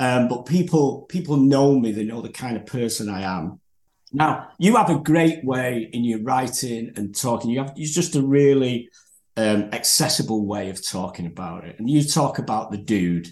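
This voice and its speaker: Here a man speaks with a Manchester accent at a medium pitch. His intonation is lively and his pace moderate. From northern England. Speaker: podcast host. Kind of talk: casual interview chat. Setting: video call.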